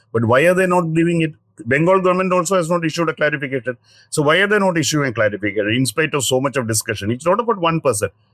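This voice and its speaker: With a South Indian accent, a man talks very fast at a fairly high pitch, with lively intonation and very even loudness, on a very clean recording with a silent background. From Kerala, South India. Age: 50s. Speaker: senior journalist. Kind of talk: interview. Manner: halting.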